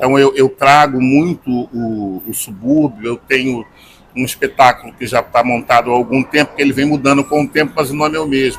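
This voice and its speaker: Against noticeable background noise, a man with a Carioca accent speaks at medium pitch with fairly even intonation. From Rio de Janeiro, Brazil. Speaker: singer-songwriter and journalist. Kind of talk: interview answer.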